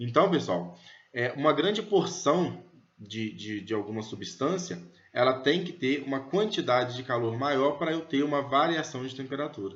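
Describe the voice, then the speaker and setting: Vocal fry runs through a man's fairly high-pitched voice. His intonation is lively, and audible room echo surrounds it. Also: moderate pace. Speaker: physics teacher. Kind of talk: lecture.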